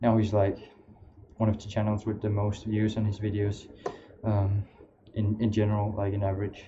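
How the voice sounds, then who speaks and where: A man speaks with a non-native accent at a fairly low pitch. His delivery is somewhat breathy, with monotone, flat intonation. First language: not English. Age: young. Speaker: streamer. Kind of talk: casual chat. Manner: halting.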